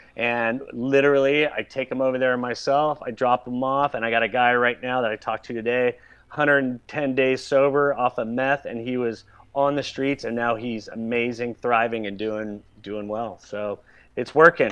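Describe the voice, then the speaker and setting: A man speaks with an American accent at a medium pitch. His pace is moderate and his intonation fairly even. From Southern California. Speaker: celebrity hairstylist. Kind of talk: casual interview chat.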